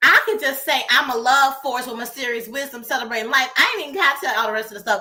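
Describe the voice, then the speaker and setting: A woman with an American accent talks at a very fast pace in a high, bright, sharp voice. Her tone is animated and her voice raised and projected, with ordinary pitch variation. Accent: Southern, stronger when excited. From US South. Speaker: co-founder and show co-host. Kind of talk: casual chat.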